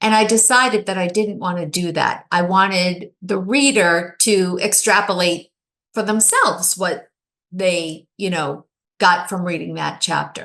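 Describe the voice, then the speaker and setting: Bright and sharp in tone, a woman talks at a fairly slow pace, her medium pitch moving with ordinary variation. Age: 60s. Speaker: widow, author. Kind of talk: interview.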